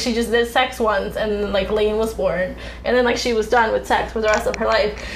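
A woman speaks at a fairly quick pace with audible room echo and noticeable background noise. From US, Mexican-American. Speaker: podcast host. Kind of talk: casual chat.

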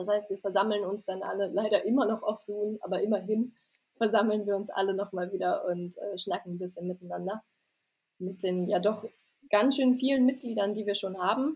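This woman's voice is somewhat breathy and sits at a medium pitch. Her intonation stays fairly even. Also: moderate pace. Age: 20s. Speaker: doctoral law student. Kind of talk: casual interview.

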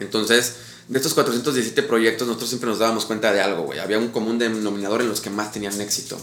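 Amid noticeable background noise and audible room echo, a man at a medium pitch speaks at a very fast pace with fairly even intonation. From Mexico City, with years in Pachuca, Hidalgo. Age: 30s. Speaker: public relations company CEO. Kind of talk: casual chat.

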